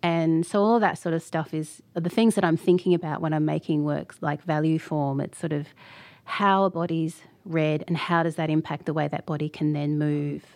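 A woman with an Australian accent, a very deep, low pitch, fairly even intonation and a moderate pace, over a quiet background. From Australia (Sydney), Fijian heritage. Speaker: artist and art lecturer. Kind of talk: interview conversation.

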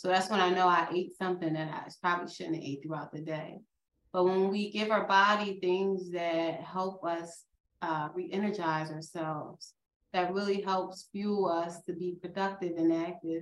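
Monotone and flat in intonation, a woman with a Philadelphia accent speaks at a moderate pace in a fairly low pitch. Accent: Philadelphia American. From Philadelphia area, US. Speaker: nurse practitioner and nursing professor. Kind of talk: interview.

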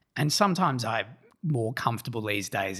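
A man's bright, sharp voice with an Australian accent. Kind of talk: interview. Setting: around a kitchen table.

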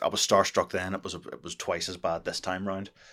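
The voice carries a Northern Irish accent. The recording is very clean, with a silent background. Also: man. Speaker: podcast co-host. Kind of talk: casual chat.

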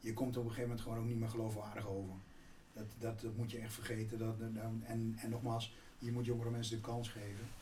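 With noticeable background noise and audible room echo, a man talks at a very fast pace in a monotone, flat delivery. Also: medium pitch for a man. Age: 60s. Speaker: business executive. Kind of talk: interview.

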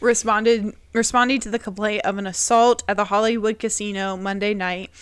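At a moderate pace, an unremarkable speaking voice with fairly even intonation sounds out in a very clean recording with a silent background. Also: woman. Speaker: podcast host. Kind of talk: casual chat.

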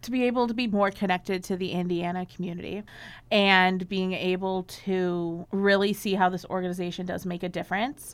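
A woman's plain, everyday voice, medium-pitched, at a fairly quick pace with fairly even intonation, on a very clean recording with a silent background. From Chicago. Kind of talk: casual interview chat.

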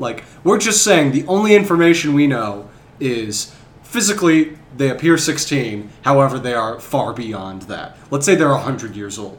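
Over noticeable background noise, a man with an American accent talks at a moderate pace in a fairly high voice, with very wide pitch swings and big swings in loudness. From US Midwest. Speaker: podcast co-host. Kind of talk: casual chat.

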